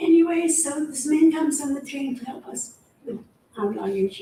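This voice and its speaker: The pace sits at a moderate level. Intonation rises and falls in a lively way. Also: woman. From Eastern Europe. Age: 90s. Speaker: Holocaust survivor. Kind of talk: testimony. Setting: school assembly. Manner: halting.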